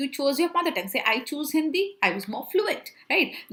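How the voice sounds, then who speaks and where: A woman is speaking. Her pitch swings very widely. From Central India. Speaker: chartered accountant and communication coach teaching online. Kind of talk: online lecture mixing Hindi and English. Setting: live online class.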